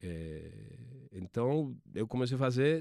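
A man with an Argentine accent speaks at a medium pitch in a dark, mellow tone, with a dry, close sound with no echo on a very clean recording with a silent background. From Argentina. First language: Spanish (speaking Portuguese). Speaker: sports TV producer. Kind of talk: interview. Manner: halting, many repetitions.

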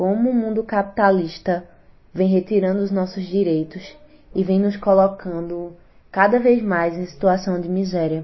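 A woman with a normal speaking voice, medium pitch, fairly even intonation and a fairly slow pace. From Garanhuns, Pernambuco, Brazil. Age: 20s. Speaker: city councillor and rapper. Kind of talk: interview.

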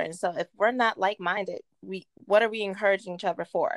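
A woman with an American accent and a plain, everyday voice, medium in pitch, with ordinary pitch variation, a moderate pace and a dry, close sound free of echo. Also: very clean recording, silent background. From West Virginia (Martinsburg). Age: 30s. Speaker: guest speaking on faith. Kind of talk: casual chat with faith teaching.

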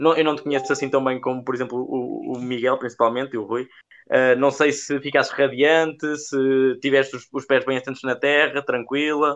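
The speaker is a man, keeping a moderate pace. His intonation stays monotone and flat. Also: medium pitch for a man. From central Portugal. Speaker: podcast co-host. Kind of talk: casual chat.

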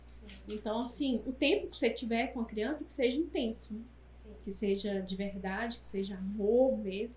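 At a moderate pace, a plain, everyday voice speaks with ordinary pitch variation and big swings in loudness. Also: woman, fairly high pitch for a woman. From Brazil, Minas Gerais. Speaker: entrepreneur and mother. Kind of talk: casual chat.

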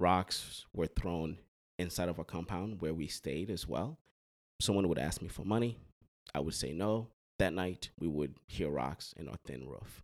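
This man has a very deep, low pitch with ordinary pitch variation and vocal fry. He talks at a fairly slow pace. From Haiti.

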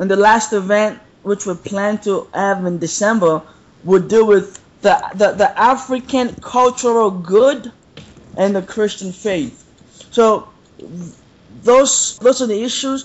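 A man's high-pitched voice at a fairly slow pace, with fairly even intonation. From Nigeria. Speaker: seminary student and pastoral intern. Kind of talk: casual interview conversation.

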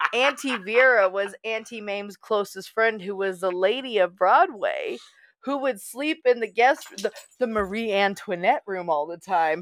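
Hers is an unremarkable speaking voice, a woman's with an American accent, fairly high in pitch, moderate in pace and ordinary in its pitch variation. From US, small town. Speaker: podcast co-host. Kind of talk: casual chat.

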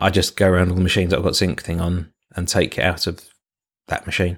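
A man speaks in a very deep, low voice with a British accent. The recording is very clean, with a silent background. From UK. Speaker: podcast co-host, IT professional. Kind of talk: casual chat.

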